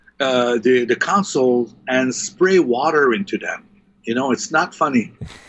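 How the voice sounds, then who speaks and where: With a French Canadian accent, a man speaks at a fairly slow pace with lively intonation. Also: medium pitch for a man. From Quebec, Montreal. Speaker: live sound engineer. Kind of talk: casual interview. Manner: halting, many fillers; animated.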